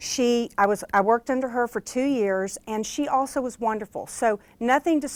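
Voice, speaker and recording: A woman speaks in an unremarkable speaking voice, fairly high-pitched with ordinary pitch variation, at a fairly quick pace in a very clean recording with a silent background. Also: dry, close sound with no echo. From US South, Arkansas (Hot Springs). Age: 50s. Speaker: motivational speaker and author. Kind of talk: keynote speech. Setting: stage with audience.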